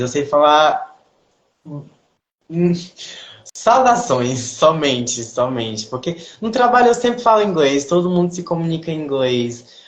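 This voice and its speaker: A man's intonation is lively. He speaks at a fairly slow pace. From Brazil, Ceará. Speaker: ballet dancer. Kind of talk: interview. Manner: halting, with self-corrections.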